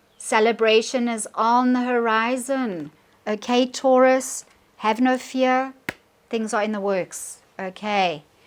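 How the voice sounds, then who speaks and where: Speaking very slowly with a South African accent, a woman uses a fairly high pitch and ordinary pitch variation. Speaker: tarot reader. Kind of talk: tarot reading to camera.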